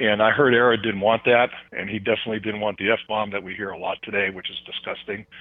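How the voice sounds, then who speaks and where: An unremarkable speaking voice from a man, fairly low in pitch and at a fairly quick pace. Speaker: former football player turned ministry speaker. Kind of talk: interview.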